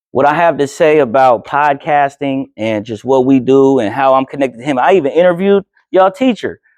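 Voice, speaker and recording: A man with an American accent speaks in a fairly high voice, his pitch moving in an ordinary way. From Oakland, California (Alameda / East Oakland). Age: 30s. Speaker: filmmaker and journalist. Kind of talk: talk to high school class. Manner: casual, with frequent hesitations.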